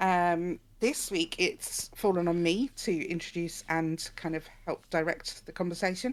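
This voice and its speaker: A woman speaks at a fairly slow pace. The recording is very clean with a silent background. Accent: English. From England. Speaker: podcast co-host. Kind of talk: casual book discussion. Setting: live stream and podcast recording.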